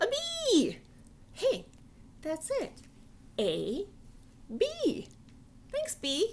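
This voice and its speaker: Over clear background noise, a woman uses a put-on character voice at an extremely high pitch, talking at a very slow pace with long, frequent pauses. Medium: read story. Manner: excitable, cheerful.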